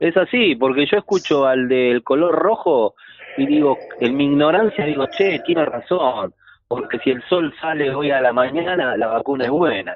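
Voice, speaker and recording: Using an ordinary speaking voice, a man keeps a moderate pace with lively intonation and very even loudness. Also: fairly high pitch for a man. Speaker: trophey maker, sponsor. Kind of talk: radio interview by phone.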